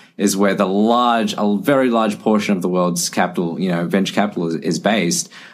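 A man's normal speaking voice, fairly low in pitch, at a moderate pace with lively intonation. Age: 20s. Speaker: medtech startup founder. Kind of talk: podcast interview.

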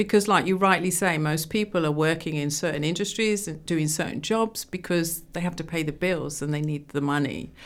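Speech comes at a fairly quick pace with hardly any pauses, in an English accent. Pitch variation is ordinary. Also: woman, fairly low pitch for a woman. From England. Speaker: entrepreneur. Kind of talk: interview.

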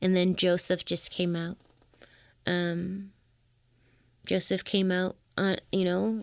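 With a Toronto accent, a woman speaks at a very slow pace in a medium pitch, leaving long, frequent pauses, her intonation fairly even on a very clean recording with a silent background. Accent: Toronto Canadian English. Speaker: singer-songwriter. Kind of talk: interview conversation.

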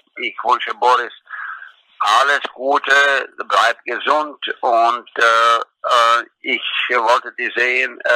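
With a Croatian accent, a man speaks. His pace is very slow. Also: dry, close sound with no echo. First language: Croatian (speaking German). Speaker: former tennis coach. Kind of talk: recorded tribute.

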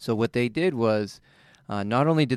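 With a plain, everyday voice, a man speaks at a medium pitch and moderate pace with lively intonation, on a very clean recording with a silent background and a dry, close sound with no echo. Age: 40s. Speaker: physical therapist and podcast co-host. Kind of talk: casual chat.

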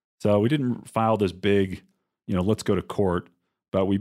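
Moderately paced, a man talks in a normal speaking voice at a fairly low pitch. The recording is very clean, with a silent background. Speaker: investor and podcast co-host. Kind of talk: casual conversational explanation.

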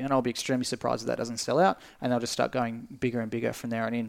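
This Australian-accented voice comes through on a very clean recording with a silent background. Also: man. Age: 20s. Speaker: esports company director. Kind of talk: casual interview chat.

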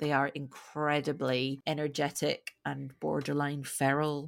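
With a slight Scottish accent, a woman talks at a moderate pace in a very deep, low pitch and monotone, flat intonation on a very clean recording with a silent background. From Scotland. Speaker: podcast host. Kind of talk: casual chat.

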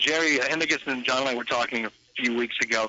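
Delivered at a fairly quick pace, the speech has noticeable background noise behind it. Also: man. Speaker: radio show producer. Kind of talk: casual chat. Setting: phone call.

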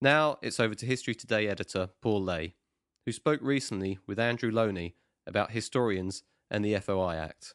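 A plain, everyday voice speaks at a moderate pace with ordinary pitch variation, heard in a dry, close sound with no echo against a quiet background. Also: man, fairly low pitch for a man. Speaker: podcast announcer. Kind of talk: scripted narration.

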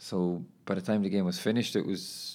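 A man with an Irish accent is heard on a very clean recording, the background silent. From Ireland. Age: 20s. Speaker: footballer and podcaster. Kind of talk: casual monologue. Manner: casual, laughing.

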